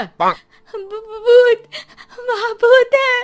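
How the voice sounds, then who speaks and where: A woman shouts in a put-on character voice. Her pitch is extremely high. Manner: shouting, screaming in fear.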